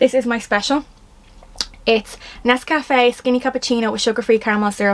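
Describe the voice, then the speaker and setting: With a Dublin accent, a woman speaks at a high pitch. Her tone is animated. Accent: Dublin Irish. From Ireland, Dublin. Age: 20s. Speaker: influencer / vlogger. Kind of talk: casual vlog Q&A. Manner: fast; animated, rambling.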